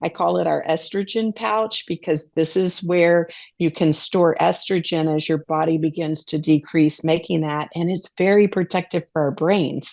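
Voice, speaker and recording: A woman speaks in an ordinary speaking voice, fairly low in pitch, with fairly even intonation. Her pace is moderate with hardly any pauses, and the recording is very clean against a silent background. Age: 60s. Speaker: dietitian and counselor. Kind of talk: interview.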